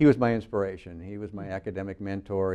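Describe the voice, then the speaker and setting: Fairly quick in pace, a man with an American accent speaks at a fairly low pitch. His tone is dark and mellow. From US West Coast, Northern California (North Bay). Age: 60s. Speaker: retiring county administrator. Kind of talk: interview. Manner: hesitant, many fillers.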